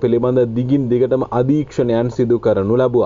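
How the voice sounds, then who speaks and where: A man speaks at a very slow pace. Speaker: news commentator. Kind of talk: news commentary.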